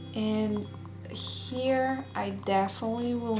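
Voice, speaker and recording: Speaking at a very slow pace, a woman has a non-native accent. Noticeable background noise and audible room echo fill the recording. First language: not English. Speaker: ASMR self-care creator. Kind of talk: tutorial. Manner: casual.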